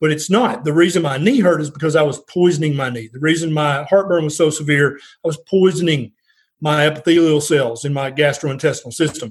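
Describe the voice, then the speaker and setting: This man's voice is fairly high and somewhat breathy. He talks at a fairly quick pace with ordinary pitch variation. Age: 50s. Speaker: family physician. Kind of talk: interview.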